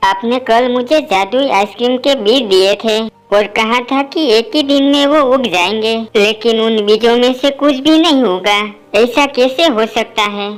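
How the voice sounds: A female-sounding voice performs a cartoonish character at a fairly high pitch. The pace is moderate, with hardly any pauses.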